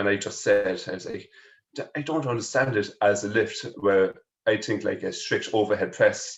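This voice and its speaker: With a strong Kerry accent, a man talks at a moderate pace. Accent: heavy Irish (Kerry). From Ireland, further up the country. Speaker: powerlifter, strongman and personal trainer. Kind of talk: casual interview chat.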